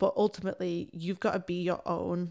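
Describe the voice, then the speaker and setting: Her tone is dark and mellow, at a medium pitch for a woman. The recording is very clean, with a silent background. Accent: English. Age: 20s. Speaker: creative coach. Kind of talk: casual chat. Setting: face to face at home. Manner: fast.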